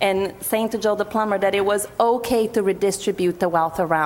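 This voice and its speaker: A woman speaks in a Portuguese accent with fairly even intonation. Noticeable background noise runs under her voice. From Brazil. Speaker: activist group co-chair. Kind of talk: panel talk.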